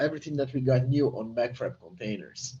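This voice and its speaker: A man speaks at a fairly quick pace in a dark, mellow tone that is somewhat breathy. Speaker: software developer. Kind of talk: live product demo.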